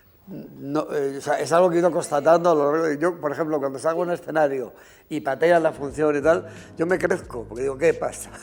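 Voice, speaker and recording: This man's fairly high voice shows ordinary pitch variation as he talks fairly quickly. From Spain, Segovia (Riaza). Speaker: costume designer. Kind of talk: interview. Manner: halting, many fillers.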